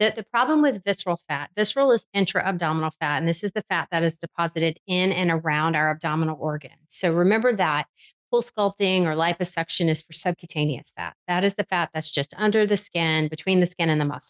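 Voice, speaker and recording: A woman with a fairly low voice talks at a very fast pace with hardly any pauses. The sound is dry and close, with no echo. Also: ordinary pitch variation. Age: 50s. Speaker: physician. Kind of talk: interview.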